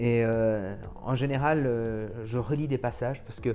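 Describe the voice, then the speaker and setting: Fairly even intonation from a man whose voice sits at a medium pitch. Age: 30s. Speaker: politician and lawyer. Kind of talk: personal interview. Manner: hesitant, many fillers.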